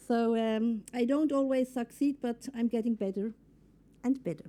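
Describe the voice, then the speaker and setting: A woman with a non-native accent speaks at a high pitch, her pitch varying an ordinary amount. Her tone is dark and mellow. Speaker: entrepreneur and workshop speaker. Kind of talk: conference workshop.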